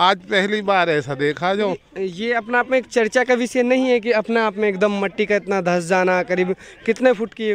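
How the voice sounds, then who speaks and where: Over light background noise, a man with a high pitch speaks at a moderate pace with hardly any pauses, ordinary pitch variation, and a dry sound with no echo. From Mewat, Haryana (India); Haryana, India. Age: 50s. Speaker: villager; field news reporter. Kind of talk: interview. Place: open country. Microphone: handheld.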